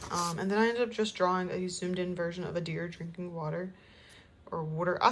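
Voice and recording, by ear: A woman talks at a fairly quick pace. Her voice is fairly low and monotone, with flat intonation.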